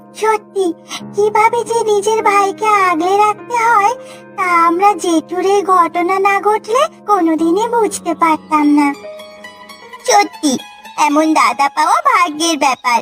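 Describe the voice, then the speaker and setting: A woman uses a cartoonish character voice with an extremely high pitch and a fairly slow pace. Clear music plays in the background. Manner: soft, worried.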